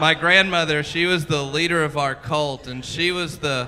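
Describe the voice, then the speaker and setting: In a Southern US accent, a man speaks at a moderate pace with fairly even intonation. His pitch is fairly high, and there is noticeable background noise. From US South, Mississippi. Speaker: stand-up comedian. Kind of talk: stand-up. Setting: comedy club stage with audience.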